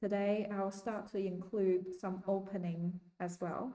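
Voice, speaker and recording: The tone is dark and mellow, the intonation monotone and flat. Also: woman. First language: not English. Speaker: chess learner streamer. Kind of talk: casual learning vlog. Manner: hesitant, many ums.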